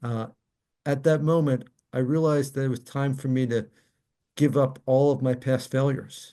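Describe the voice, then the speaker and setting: This man's voice rests at a medium pitch, fairly even in intonation. His tone is dark and mellow. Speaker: motivational speaker and author. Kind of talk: interview answer.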